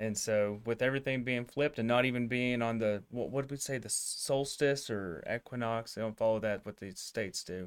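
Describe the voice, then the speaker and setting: This man has an unremarkable speaking voice, medium in pitch, moving at a fairly quick pace with hardly any pauses. The recording is very clean and the background silent. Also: ordinary pitch variation. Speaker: vet school faculty interviewer. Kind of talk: casual interview.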